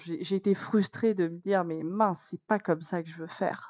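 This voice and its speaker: This woman speaks at a medium pitch. Her intonation is fairly even. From France, Corrèze. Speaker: teacher. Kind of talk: podcast interview. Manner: hesitant, many fillers.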